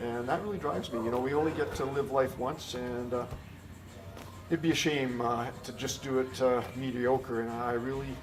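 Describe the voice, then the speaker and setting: Music plays in the background as the speaker goes at a moderate pace with fairly even intonation, with audible echo in the room. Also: man, medium pitch for a man. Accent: Canadian Prairie. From rural Manitoba, Canada. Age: 60s. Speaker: car dealership general manager. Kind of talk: interview. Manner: hesitant, many fillers.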